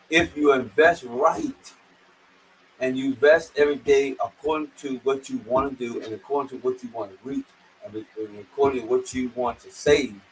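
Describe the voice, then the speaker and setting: Amid noticeable background noise, a fairly high-pitched man talks at a moderate pace with fairly even intonation and big swings in loudness. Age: 60s. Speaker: financial strategy presenter. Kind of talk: financial seminar talk. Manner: informal, repetitive.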